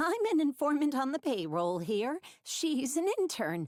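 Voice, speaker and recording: In a put-on character voice, a female-sounding speaker talks at a moderate pace with a high pitch and very wide pitch swings, recorded very cleanly against a silent background. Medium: read story.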